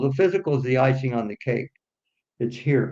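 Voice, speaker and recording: An American accent marks this man's somewhat breathy voice. He speaks at a fairly quick pace. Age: 60s. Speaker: business aviation executive. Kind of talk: interview. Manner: halting.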